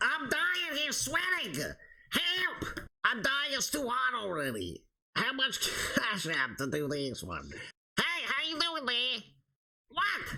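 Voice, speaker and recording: A man puts on a character voice at an extremely high pitch, raised and projected. He speaks at a fairly slow pace. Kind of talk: comedic role play on video chat. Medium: role play.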